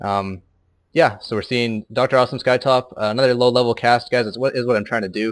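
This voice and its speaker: In a very clean recording with a silent background, a man talks at a very fast pace with fairly even intonation. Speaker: amateur game caster. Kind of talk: live commentary. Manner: monotone; halting.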